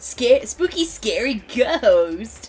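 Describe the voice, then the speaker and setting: A female-sounding put-on character voice sits at a high pitch. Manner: spooky, eerie.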